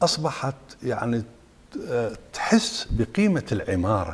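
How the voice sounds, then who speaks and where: Here a man talks in an Iraqi accent. His intonation is lively. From Iraq, Suwayra (Wasit). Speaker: architect and professor; guest. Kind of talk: interview. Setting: studio. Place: studio. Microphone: lapel.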